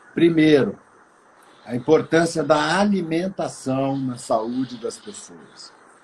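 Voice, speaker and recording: This man talks very slowly. His voice sits at a fairly high pitch. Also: ordinary pitch variation. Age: 70s. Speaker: retired actor and cannabis activist. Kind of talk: casual chat.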